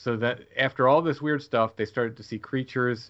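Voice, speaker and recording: The man talks at a fairly quick pace in a bright, sharp tone with ordinary pitch variation. The background is quiet. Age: 50s. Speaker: author and podcast host. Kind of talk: interview.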